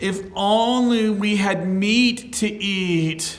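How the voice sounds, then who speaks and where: A whiny, put-on character voice at a fairly high pitch drags along at a very slow pace with audible echo. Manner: whining, complaining, exaggerated.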